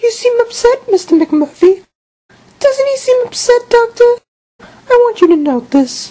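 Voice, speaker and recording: Extremely high in pitch, a woman performs a cartoonish character voice. Her intonation is lively, broken by long, frequent pauses. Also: moderate pace. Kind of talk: student puppet show acting. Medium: puppet show. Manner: calm, prim, condescending.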